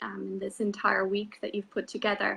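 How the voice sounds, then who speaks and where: A woman speaks with an Irish accent at a medium pitch. Her tone is bright and sharp, and the background is quiet. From Ireland, small village. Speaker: spiritual coach. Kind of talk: interview.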